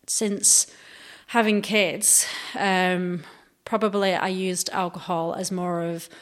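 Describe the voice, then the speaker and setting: A woman's very slow speech in a British accent. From UK. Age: 40s. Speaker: police officer. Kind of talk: interview.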